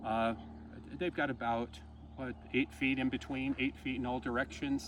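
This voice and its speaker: Pitched at a medium level, a man's voice swings very widely in pitch, with vocal fry and a moderate pace. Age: 70s. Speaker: gardener. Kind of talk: tutorial. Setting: outdoors. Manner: halting.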